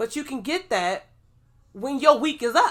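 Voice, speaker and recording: A woman's high-pitched voice, animated, with a bright, sharp tone. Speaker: podcast co-host; pharmacy worker. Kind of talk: casual chat. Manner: fast.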